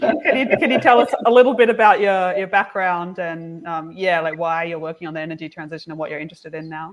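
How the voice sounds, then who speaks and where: Woman with an Australian accent at a very fast pace, hardly any pauses, lively intonation and big swings in loudness. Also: fairly low pitch for a woman. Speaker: engineering livestream host. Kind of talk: casual chat.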